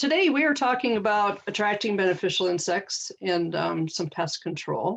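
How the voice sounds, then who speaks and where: At a moderate pace, a woman speaks with lively intonation, very even loudness and hardly any pauses. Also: medium pitch for a woman. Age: 60s. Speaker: gardening educator. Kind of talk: workshop presentation. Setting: video call. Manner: halting.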